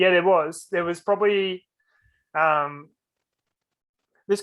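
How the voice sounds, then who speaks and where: The speaker has an Australian accent and an ordinary amount of pitch variation. The pace is moderate. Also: man. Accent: general Australian. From Australia, Sydney (North Shore, northern beaches). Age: 20s. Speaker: mental health advocate. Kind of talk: interview. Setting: podcast. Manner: casual, halting with fillers.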